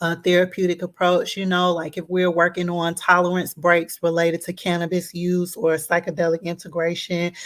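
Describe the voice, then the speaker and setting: A woman with a Southern US accent speaks at a fairly low pitch in a monotone, flat intonation. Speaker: therapist. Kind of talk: tutorial. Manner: hesitant, many fillers.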